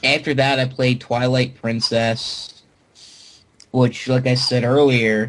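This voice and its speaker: This man speaks at a medium pitch. His intonation is monotone and flat. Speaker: podcast host. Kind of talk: casual chat. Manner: halting, stammering repeats.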